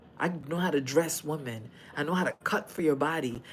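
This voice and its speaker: At a moderate pace, a woman talks in an animated tone with ordinary pitch variation. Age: 50s. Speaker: fashion designer and podcast host. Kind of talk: livestream chat reading comments.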